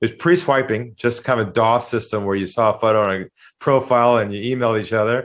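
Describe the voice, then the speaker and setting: Over a quiet background, a man of medium pitch talks at a very fast pace with ordinary pitch variation. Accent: Californian. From California. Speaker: sales trainer. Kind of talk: interview.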